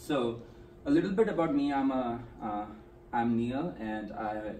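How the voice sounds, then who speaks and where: A man speaks over light background noise, his voice carrying audible room echo. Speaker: presenter. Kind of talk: presentation talk. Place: meeting room. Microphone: camera far.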